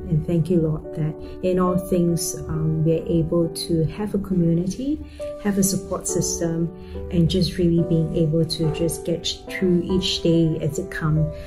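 Music is clearly audible behind the speaker. She is a woman talking at a fairly slow pace. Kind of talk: spoken prayer. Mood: calm, reverent. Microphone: webcam.

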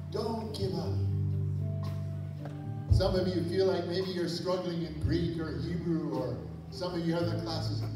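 Music in the background and audible room echo behind a man speaking at a fairly slow pace. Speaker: preacher at seminary event. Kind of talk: sermon. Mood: earnest exhortation. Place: stage.

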